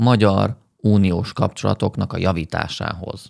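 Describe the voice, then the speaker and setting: Fairly slow speech over a quiet background. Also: man. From Hungary. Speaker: video essayist and political commentator. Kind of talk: satirical commentary on a political interview. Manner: sarcastic, ironic. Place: home room. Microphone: studio mic.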